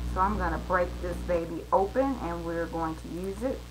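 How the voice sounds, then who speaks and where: A woman speaks at a moderate pace. The recording carries audible room echo and noticeable background noise. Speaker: mixed-media artist. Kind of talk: live art tutorial. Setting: home studio, live stream. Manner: soft-spoken.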